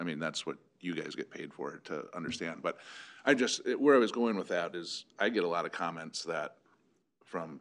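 A man speaks with an American accent at a moderate pace. His pitch is very deep and low, with ordinary pitch variation. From US Midwest. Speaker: city council member. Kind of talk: council meeting discussion. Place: meeting room.

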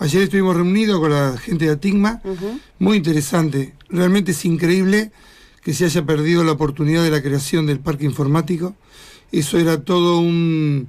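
Against a quiet background, a man talks at a high pitch with ordinary pitch variation and very even loudness. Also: moderate pace. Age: 60s. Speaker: local politician candidate; radio interview guest. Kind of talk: radio interview. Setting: studio. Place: studio. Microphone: studio mic.

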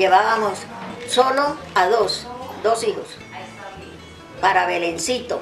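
At a fairly slow pace, a woman talks. Behind her, clear music can be heard. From Santander, Colombia. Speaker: elder recounting memories. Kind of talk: interview answer. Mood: calm, reflective recollection. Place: garden.

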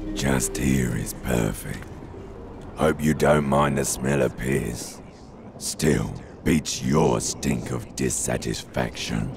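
Over clear background noise, a man uses a put-on character voice with a very deep, low pitch at a very slow pace. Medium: dub. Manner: sly, coaxing.

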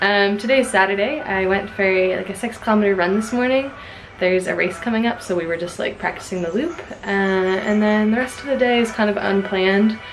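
A woman talks at a fairly quick pace with ordinary pitch variation. Light background noise is present. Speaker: vlogger. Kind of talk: casual vlog chat. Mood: cheerful, relaxed. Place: home room. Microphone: phone near.

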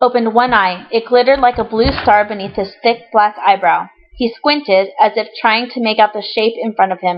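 What we hear is plain reading aloud.

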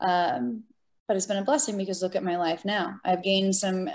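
A somewhat breathy woman with an American accent talks at a fairly quick pace. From Florida. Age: 20s. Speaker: military veteran and adaptive athlete. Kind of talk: interview. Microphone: video call.

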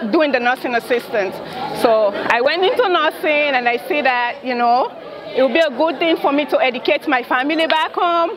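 Over crowd noise, a woman speaks at a moderate pace with high pitch and lively intonation. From Sierra Leone. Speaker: registered nurse. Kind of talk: interview. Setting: community health fair. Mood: earnest, reflective. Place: hall. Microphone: lapel.

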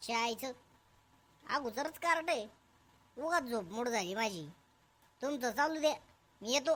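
A female-sounding, cartoonish character voice is pitched high. It moves at a fairly slow pace. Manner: grumbling, irritable.

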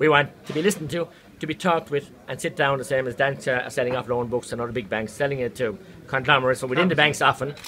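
Speech comes at a very fast pace with ordinary pitch variation over light background noise. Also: man, fairly high pitch for a man. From Ireland. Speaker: politician. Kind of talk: speech to a protest crowd. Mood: earnest, indignant. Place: hall. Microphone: phone near.

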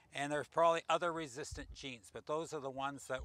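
Bright and sharp, a man's voice sits at medium pitch with little pitch movement. His pace is moderate.

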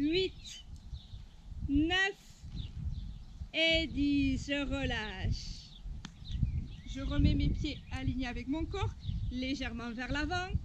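Very slowly, a woman speaks with long, frequent pauses over noticeable background noise. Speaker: fitness instructor. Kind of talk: exercise class instruction. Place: open country.

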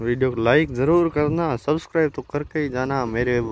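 In a dry sound with no echo, a man speaks at a fairly slow pace with fairly even intonation. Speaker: village farmer vlogger. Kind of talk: casual vlog chat. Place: farm machine. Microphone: phone near.

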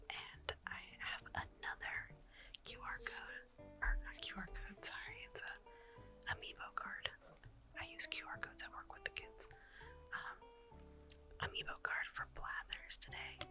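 Someone whispers at a fairly slow pace with long, frequent pauses while music plays in the background. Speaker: ASMR creator. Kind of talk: gameplay commentary. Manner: whispered.

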